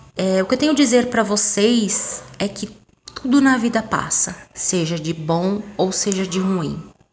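A woman speaks fairly slowly in a normal speaking voice. Her pitch sits in the middle range and varies in an ordinary way. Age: 30s. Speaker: podcaster. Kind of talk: casual monologue.

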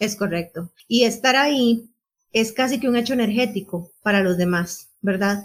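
A woman with a somewhat breathy, fairly high voice speaks at a fairly slow pace, using ordinary pitch variation and very even loudness. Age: 40s. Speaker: podcast co-host, journalist. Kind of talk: casual chat.

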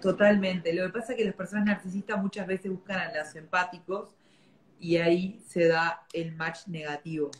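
A woman with a Rioplatense accent, medium pitch, moderate pace and fairly even intonation. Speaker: podcast host. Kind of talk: casual chat. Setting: video livestream.

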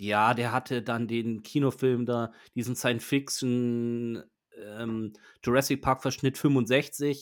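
On a very clean recording with a silent background, a man speaks very slowly in a monotone, flat way, with long, frequent pauses. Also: medium pitch for a man. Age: 40s. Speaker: podcast host. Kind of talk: casual chat. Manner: halting.

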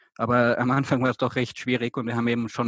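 Recorded very clean against a silent background, a man speaks at a very fast pace in a dry, close sound with no echo. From Austria. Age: 20s. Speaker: volunteer returned from abroad. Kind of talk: interview. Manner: halting, many fillers.

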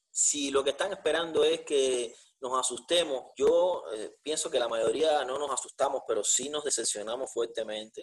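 A man speaks at a moderate pace. He barely pauses at all. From Cuba. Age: 40s. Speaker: jurist, podcast co-host. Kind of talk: conversational debate.

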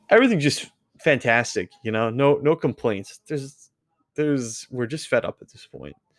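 Here is an ordinary speaking voice from a man, fairly high in pitch with lively intonation. He keeps a moderate pace, and the sound is dry and close with no echo. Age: 20s. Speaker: gaming streamer and podcast host. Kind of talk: solo casual update monologue.

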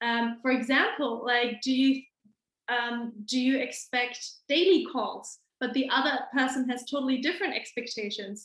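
Here a woman speaks in a German accent. Her pitch is high and her pace is moderate. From Germany, Hamburg. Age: 20s. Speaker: lawyer and small business owner. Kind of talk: casual chat.

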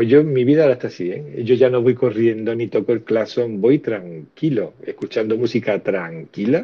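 A man speaks at a moderate pace and medium pitch, with hardly any pauses. He has a plain, everyday voice with lively intonation. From Andalusia (Cádiz). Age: 50s. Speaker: teacher and podcast co-host. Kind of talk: casual chat. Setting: online audio room.

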